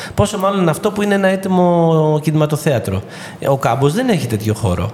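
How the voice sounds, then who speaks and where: Over noticeable background noise, a man with a fairly high pitch keeps his loudness very even. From Greece, Ilia (western Peloponnese). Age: 40s. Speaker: actor and theatre director. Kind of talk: casual interview. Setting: studio.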